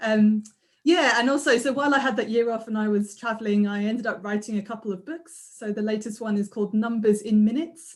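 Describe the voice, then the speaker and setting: A somewhat breathy woman's voice at a fairly high pitch and a very fast pace. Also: ordinary pitch variation. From London, Croydon. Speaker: maths lecturer and author. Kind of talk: casual chat and magic trick demonstration.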